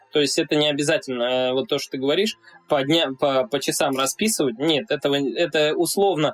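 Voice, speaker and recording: Using a normal speaking voice, a man talks at a fairly quick pace and fairly high pitch with ordinary pitch variation, the sound dry and close with no echo. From Russia, Saint Petersburg. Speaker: YouTuber and athlete. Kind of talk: casual interview chat.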